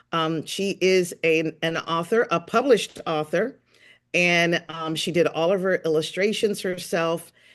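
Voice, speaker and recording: A woman speaks in a plain, everyday voice, fairly low-pitched and fairly slow, with fairly even intonation over a quiet background. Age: 60s. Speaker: podcast host and author. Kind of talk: casual chat.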